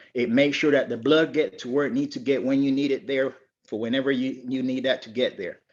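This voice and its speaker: In a normal speaking voice, a man talks at a fairly quick pace and a fairly high pitch with fairly even intonation, over a quiet background. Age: 60s. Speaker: network marketing distributor, military veteran. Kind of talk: testimony.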